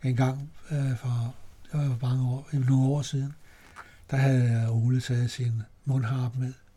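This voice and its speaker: A man speaks at medium pitch with a dark, mellow tone, somewhat breathy and monotone, flat in delivery, leaving long, frequent pauses. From Denmark, Copenhagen. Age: 80s+. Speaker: amateur singer. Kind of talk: interview. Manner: halting.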